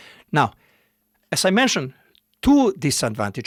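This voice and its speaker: A man speaks with a Bosnian accent. The very clean recording has a silent background and a dry, close sound with no echo. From Bosnia, Modrica (north Bosnia). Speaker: music keyboard demonstrator. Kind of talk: tutorial. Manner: halting, with many fillers.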